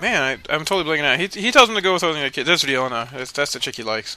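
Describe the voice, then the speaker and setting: Mumbling, a man talks at a very fast pace. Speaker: video game let's player. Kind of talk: casual gameplay commentary. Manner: mumbling, rambling.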